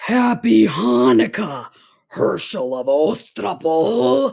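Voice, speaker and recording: In a put-on character voice of low-to-middle pitch, the speaker goes at a very slow pace with very wide pitch swings. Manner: menacing.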